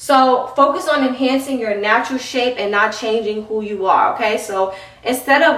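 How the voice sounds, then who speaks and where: A woman with a New York accent, audible room echo and noticeable background noise. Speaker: fitness trainer and youtuber. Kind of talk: tutorial. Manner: fast; animated.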